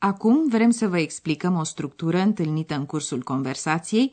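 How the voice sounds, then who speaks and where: With a normal speaking voice, a woman talks at a moderate pace in a fairly low pitch, her intonation lively. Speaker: radio language course presenter. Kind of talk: language lesson. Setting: studio.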